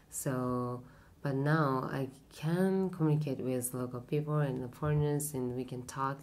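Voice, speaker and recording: In a Japanese accent, a woman speaks very slowly with a very deep, low pitch, a dark, mellow tone and fairly even intonation, and room echo is audible. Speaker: hairstylist. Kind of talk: interview. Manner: halting, many fillers.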